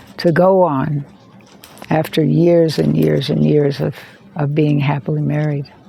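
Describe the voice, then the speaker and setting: A woman speaks with an American accent. Noticeable background noise can be heard. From United States. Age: 70s. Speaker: video creator on addiction and trauma. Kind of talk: personal monologue to camera. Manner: halting, many repeated words.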